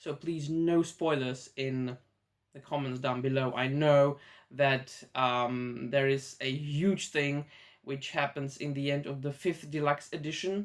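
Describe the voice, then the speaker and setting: The speaker, with a Czech accent, proceeds at a fairly slow pace. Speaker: YouTuber, manga reviewer. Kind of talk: casual vlog monologue. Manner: hesitant, many fillers.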